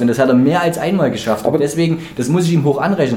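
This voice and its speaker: Audible room echo and noticeable background noise surround a very fast voice with ordinary pitch variation. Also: man. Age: 30s. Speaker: podcast co-host. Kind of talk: casual chat.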